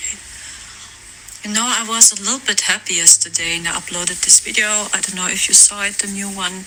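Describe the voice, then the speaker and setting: The speech comes at a fairly slow pace with a German accent. Noticeable background noise is present. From Germany. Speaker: spiritual content creator. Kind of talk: casual vlog monologue. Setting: voice messages.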